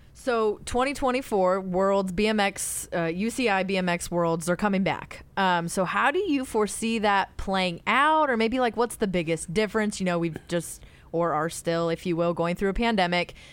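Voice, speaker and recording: Using an unremarkable speaking voice, a woman speaks at a moderate pace and medium pitch with ordinary pitch variation, very even loudness and hardly any pauses. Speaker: podcast host.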